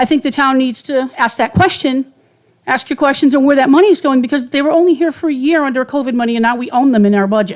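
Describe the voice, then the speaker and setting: Talking at a very fast pace, a woman with an American accent uses a high pitch and ordinary pitch variation. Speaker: resident speaking at public hearing. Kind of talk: public comment at budget hearing. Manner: off the cuff.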